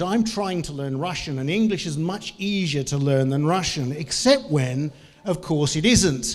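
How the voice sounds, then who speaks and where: A man with a New Zealand accent and a fairly high pitch, plus audible room echo. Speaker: business trainer and lecturer. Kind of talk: conference talk. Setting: stage with audience.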